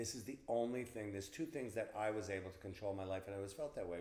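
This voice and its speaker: A fairly low male voice in a Long Island accent, with ordinary pitch variation and audible room echo. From Long Island, New York. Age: 60s. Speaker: event planner. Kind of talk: interview. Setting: in person. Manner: halting.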